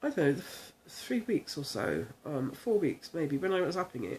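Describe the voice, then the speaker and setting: Her voice is fairly low for a woman, dark and mellow, with an English accent. The intonation is lively. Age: 60s. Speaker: video blogger with multiple sclerosis. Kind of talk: casual talk to camera. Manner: halting, many fillers.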